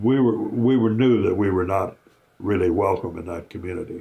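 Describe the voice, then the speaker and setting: Somewhat breathy and fairly low in pitch, a man speaks at a moderate pace with fairly even intonation over a quiet background. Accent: American. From US South, Kentucky. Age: 90s. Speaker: war veteran. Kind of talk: testimony. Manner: halting.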